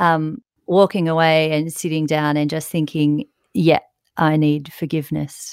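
In an Australian accent, a woman with a very deep, low voice speaks at a fairly slow pace with fairly even intonation, recorded very cleanly against a silent background. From Australia, south coast of New South Wales. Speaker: emergency physician. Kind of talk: interview.

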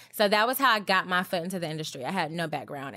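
In an American accent, a woman speaks with a fairly low pitch and ordinary pitch variation. Her tone is bright and sharp, and the recording is very clean with a silent background. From US South, Georgia. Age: 30s. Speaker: beauty editor. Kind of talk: interview.

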